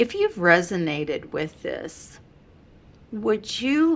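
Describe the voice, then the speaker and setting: Speaking very slowly, a woman delivers her words. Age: 70s. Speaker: channel host sharing personal stories. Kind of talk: channel sign-off; personal testimony to camera.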